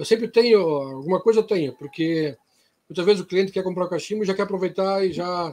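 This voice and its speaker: A man with a high pitch races along at a very fast pace, his pitch varying in an ordinary way. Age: 50s. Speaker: pipe maker. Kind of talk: casual chat. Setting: video call.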